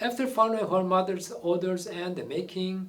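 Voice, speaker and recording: With a Korean accent, a man speaks at a high pitch with ordinary pitch variation, and audible room echo surrounds his voice. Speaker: amateur history commentator. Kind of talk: opinionated monologue. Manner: animated.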